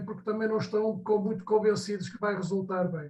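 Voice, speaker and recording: This man's voice sits high in pitch for a man and moves at a moderate pace. His intonation stays monotone and flat. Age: 70s. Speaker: audience member. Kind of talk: audience question. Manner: halting.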